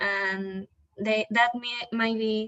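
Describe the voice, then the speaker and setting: A woman speaks very slowly. She has a slight non-native accent. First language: not English. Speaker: student presenter. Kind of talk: prepared discussion of a documentary. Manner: halting, with some fillers.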